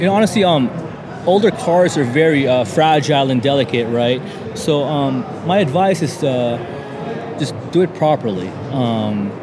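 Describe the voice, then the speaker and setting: Speaking at a moderate pace, a man uses a fairly high pitch, lively intonation and a relaxed tone. Audible room echo and noticeable background noise are present. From Southern California (El Centro). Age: 30s. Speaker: car enthusiast. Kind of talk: casual interview. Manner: relaxed, many fillers.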